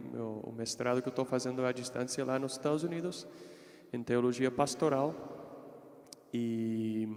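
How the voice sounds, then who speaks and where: A man with an American accent, medium pitch and a fairly slow pace. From United States. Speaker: consecrated layman, seminarian. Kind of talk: religious reflection talk. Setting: parish hall with live audience, livestreamed.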